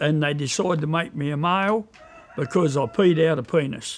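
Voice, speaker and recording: A man's fairly high voice in a strong Australian accent, with ordinary pitch variation at a moderate pace. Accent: broad Australian. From Tasmania, Australia. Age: 60s. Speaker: pig and chicken breeder. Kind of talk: documentary interview. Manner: casual, hesitant with fillers.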